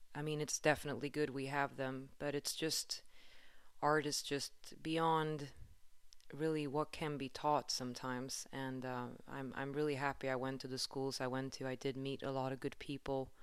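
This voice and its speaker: A woman speaks with a very deep, low voice in a Swedish accent. Her intonation is monotone and flat, her pace moderate. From Sweden, Stockholm. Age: 30s. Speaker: podcast host and musician. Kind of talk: solo podcast monologue.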